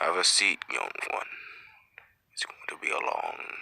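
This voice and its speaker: A man puts on a raspy character voice and speaks at a moderate pace. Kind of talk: fireside storytelling. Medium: machinima. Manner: slow, reflective.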